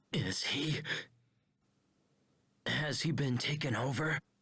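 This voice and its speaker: A man's put-on character voice, raspy and fairly high-pitched, fairly slow, with ordinary pitch variation. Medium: video game.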